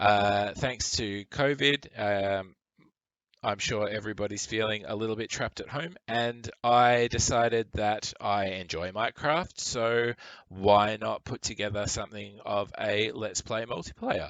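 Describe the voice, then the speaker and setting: With an Australian accent, a man talks at a fairly low pitch and a fairly slow pace, his intonation fairly even. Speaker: gaming YouTuber. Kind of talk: voiceover narration of gameplay. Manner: casual, with fillers and false starts.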